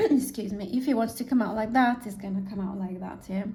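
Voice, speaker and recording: A woman with a non-native accent talks at a fairly quick pace, her pitch fairly high with ordinary variation. The room echo is audible, and there is noticeable background noise. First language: not English. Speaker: artist painting on camera. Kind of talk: casual painting commentary. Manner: halting, with fillers.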